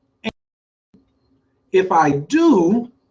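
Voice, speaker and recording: With a Southern US accent, a man speaks in an animated tone. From US South. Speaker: astrology coach. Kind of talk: online lecture. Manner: animated, sometimes loud.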